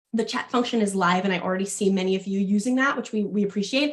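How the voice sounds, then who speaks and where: Somewhat breathy, a woman speaks very fast at a medium pitch with ordinary pitch variation. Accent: American. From New York. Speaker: fitness education manager and health coach. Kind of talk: webinar presentation.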